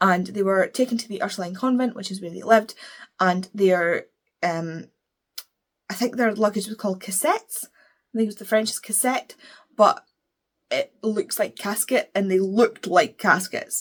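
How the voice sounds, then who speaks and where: Her loudness swinging widely, a woman with a Scottish accent speaks at medium pitch. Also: ordinary pitch variation. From Scotland. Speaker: book reviewer. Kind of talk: casual chat. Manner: fast.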